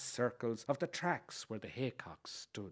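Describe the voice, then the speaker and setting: In an Irish Midlands accent, a man talks at a fairly slow pace. The background is quiet. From Ireland, County Leitrim area. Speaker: writer reading an essay. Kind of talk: reading aloud.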